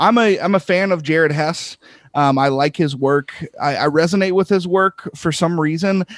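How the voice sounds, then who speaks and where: A man's ordinary speaking voice, fairly high in pitch with ordinary pitch variation, at a moderate pace, dry and close with no echo over a quiet background. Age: 30s. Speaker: film podcaster. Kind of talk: casual chat.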